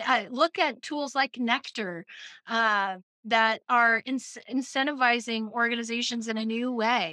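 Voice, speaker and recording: Speaking at a fairly slow pace, a woman with a fairly high pitch and a bright, sharp tone uses ordinary pitch variation, recorded dry and close with no echo against a quiet background. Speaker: podcast co-host. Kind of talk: casual chat.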